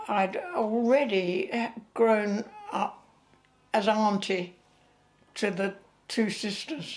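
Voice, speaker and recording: A woman with an English accent talks at a medium pitch over noticeable background noise. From England. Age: 90s. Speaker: retired actress. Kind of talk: interview. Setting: at home. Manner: halting.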